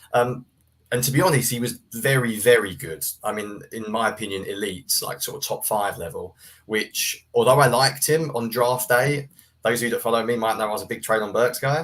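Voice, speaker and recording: This speaker has a British accent and ordinary pitch variation. The pace is fairly quick. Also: man, medium pitch for a man. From UK. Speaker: sports writer and film analyst. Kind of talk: casual podcast interview.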